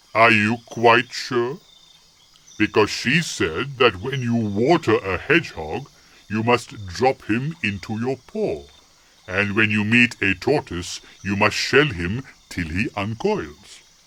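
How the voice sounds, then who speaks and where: A man does a put-on character voice at a medium pitch. He delivers it at a fairly slow pace. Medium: read story. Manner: deliberate, tricky.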